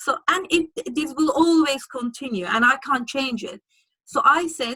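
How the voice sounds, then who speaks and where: In a strong Turkish accent, the speaker uses lively intonation and a bright, sharp tone at a moderate pace, with a dry, close sound and no echo. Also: woman. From Turkey. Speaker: lawyer. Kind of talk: interview. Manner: halting.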